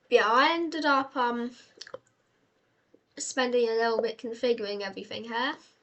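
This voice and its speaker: High-pitched woman with a British accent, moderate pace, ordinary pitch variation and long, frequent pauses. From Britain. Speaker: gaming youtuber. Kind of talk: gameplay commentary. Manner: hesitant, many fillers.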